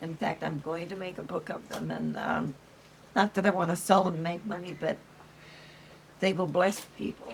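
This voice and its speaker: A woman's fairly low voice with ordinary pitch variation, at a moderate pace broken by long, frequent pauses, over noticeable background noise. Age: 80s+. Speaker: grandmother. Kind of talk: interview answer. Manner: hesitant, casual.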